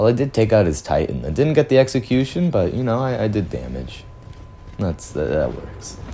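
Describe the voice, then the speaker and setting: Music plays in the background as a man speaks at a fairly quick pace. His pitch swings very widely. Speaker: gaming streamer. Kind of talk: casual gameplay commentary.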